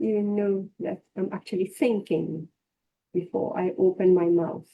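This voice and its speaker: A woman speaks at a fairly slow pace in a dark, mellow tone with vocal fry. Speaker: spiritual teacher. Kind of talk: scripture class.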